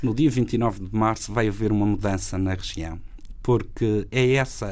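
The voice is an unremarkable speaking voice. Its pitch varies in an ordinary way. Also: man. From Madeira, Portugal. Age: 40s. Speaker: regional party leader and politician. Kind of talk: political interview.

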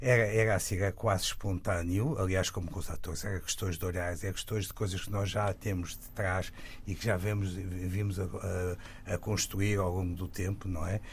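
A man speaks at a very deep, low pitch with fairly even intonation. His voice is somewhat breathy and his pace moderate. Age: 70s. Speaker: film director. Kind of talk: interview. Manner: halting.

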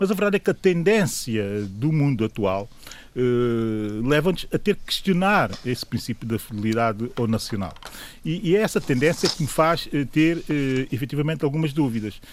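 His pitch is fairly high and swings very widely. The man keeps a moderate pace. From São Tomé and Príncipe. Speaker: political commentator. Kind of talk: radio panel debate.

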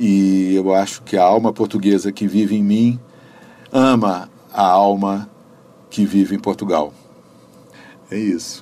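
Speaking at a fairly slow pace with long, frequent pauses, a man has a dark, mellow tone and fairly even intonation. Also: fairly low pitch for a man. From Brasília, Brazil. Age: 60s. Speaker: civil servant and visual artist. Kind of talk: interview.

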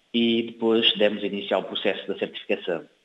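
The speaker is a man. He has a northern Portuguese accent. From Cape Verde (São Filipe). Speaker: chemical engineer. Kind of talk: interview. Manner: halting, with fillers and repetitions.

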